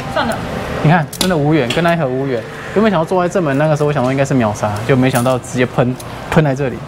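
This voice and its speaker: A man talks at a very fast pace. Noticeable background noise runs under his voice. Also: ordinary pitch variation. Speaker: claw machine vlogger. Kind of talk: casual vlog chat. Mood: playful, laughing. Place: shop. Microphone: lapel.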